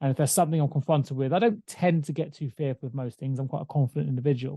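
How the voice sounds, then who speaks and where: This man has a fairly high pitch and a dark, mellow tone, somewhat breathy, talking at a very fast pace with ordinary pitch variation, in a dry, close sound with no echo against a quiet background. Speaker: podcast co-host. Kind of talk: casual chat.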